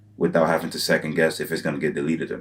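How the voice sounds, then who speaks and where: A man's very deep, low voice is edged with vocal fry. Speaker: YouTuber giving business advice. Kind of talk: solo tutorial monologue. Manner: fast; casual with many fillers.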